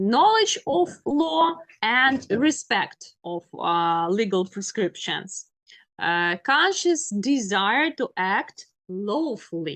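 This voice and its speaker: Very slow speech from a woman with a Ukrainian accent, fairly high in pitch and with very wide pitch swings. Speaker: law lecturer. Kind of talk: lecture. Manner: halting, many fillers.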